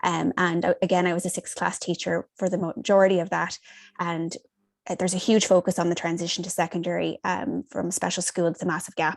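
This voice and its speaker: Against a quiet background, a woman with vocal fry speaks at a fairly quick pace in a fairly low pitch with fairly even intonation, the sound dry and close with no echo. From Canada (Ontario). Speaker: hospital school teacher. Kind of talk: webinar panel talk.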